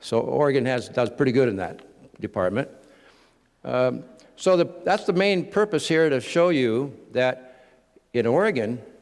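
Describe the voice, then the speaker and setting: Loud and medium-pitched, a man speaks at a moderate pace with very wide pitch swings and long, frequent pauses. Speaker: conference presenter on offshore wind energy. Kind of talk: lecture presentation.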